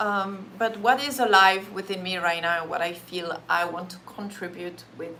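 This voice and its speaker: At a fairly slow pace, the voice comes in a French accent, with audible room echo and noticeable background noise. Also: woman. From France. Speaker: Reiki practitioner and meditation teacher. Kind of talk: casual live-stream talk before a guided meditation. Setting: live stream.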